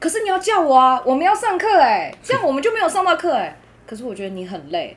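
Very fast speech carries very wide pitch swings and big swings in loudness. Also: woman, extremely high pitch for a woman. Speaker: teacher. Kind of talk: casual chat.

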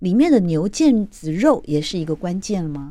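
On a very clean recording with a silent background, a woman with a dark, mellow tone speaks at a fairly slow pace, her pitch swinging very widely. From Taiwan. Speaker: radio host. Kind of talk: radio interview. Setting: radio studio.

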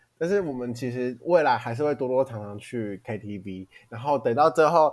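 Moderately paced male speech, medium in pitch, with ordinary variation in pitch. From Taiwan. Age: 20s. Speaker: podcast co-host, university student. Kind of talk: casual chat. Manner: animated, laughing often.

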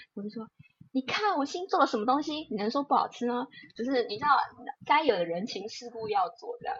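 Woman at a fairly quick pace, high pitch, very wide pitch swings and big swings in loudness. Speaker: lawyer and podcast co-host. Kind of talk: casual chat.

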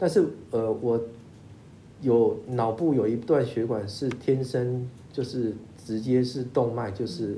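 A man with a dark, mellow tone and medium pitch sounds somewhat breathy, speaking at a very slow pace with fairly even intonation amid audible room echo. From Taiwan. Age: 50s. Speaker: lawyer. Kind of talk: interview. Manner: halting with repetitions.

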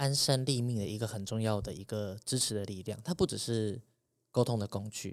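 A man with a normal speaking voice, medium in pitch with ordinary pitch variation, at a fairly quick pace, on a very clean recording with a silent background. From Taiwan, urban. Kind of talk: interview.

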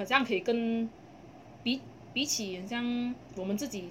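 Amid noticeable background noise, a woman with a Malaysian accent speaks in an animated tone with ordinary pitch variation. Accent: Malaysian Mandarin. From Malaysia, Kluang (Johor). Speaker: podcast co-host. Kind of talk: casual chat. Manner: animated, frequent laughter. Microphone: poor audio quality.

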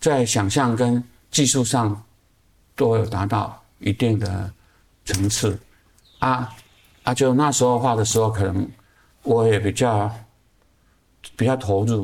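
Speaking at a very slow pace with long, frequent pauses, a man of medium pitch keeps his intonation fairly even and his loudness very even. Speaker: artist. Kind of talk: casual interview. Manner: halting with many fillers and repetitions.

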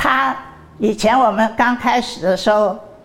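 A woman talks at a fairly slow pace with ordinary pitch variation and a fairly high pitch. Noticeable background noise runs under her voice. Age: 80s+. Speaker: university chairwoman. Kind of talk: interview. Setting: university campus.

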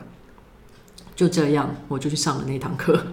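Amid noticeable background noise and audible room echo, a woman with a Taiwanese accent talks at a fairly quick pace in a very deep, low pitch with monotone, flat intonation. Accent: Taiwanese Mandarin. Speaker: YouTuber and workshop leader. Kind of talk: casual interview.

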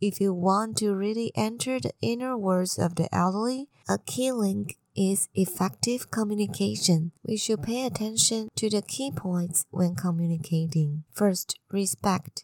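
At a fairly slow pace with hardly any pauses, a woman with a Chinese accent speaks at a medium pitch with lively intonation, the sound dry and close with no echo. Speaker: podcast host sharing health news. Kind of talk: scripted news reading.

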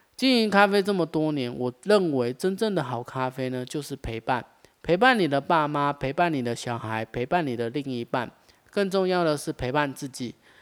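In a plain, everyday voice, a man speaks at a moderate pace and a fairly high pitch with lively intonation, the sound dry and close with no echo. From Taiwan, Taichung. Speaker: podcast host, coffee shop owner. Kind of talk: scripted monologue.

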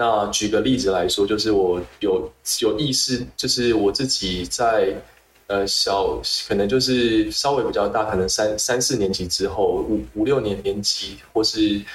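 A man's fairly low voice at a fairly slow pace, very even in loudness, with audible room echo and noticeable background noise. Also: ordinary pitch variation. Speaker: public health researcher. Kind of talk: interview. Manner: halting, with repetitions.

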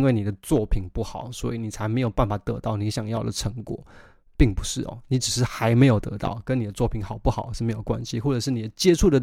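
Talking at a very fast pace, a man with a medium pitch and dark, mellow tone is heard in a very clean recording with a silent background. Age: 20s. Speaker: musician podcast host. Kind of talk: solo podcast monologue. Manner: casual, conversational.

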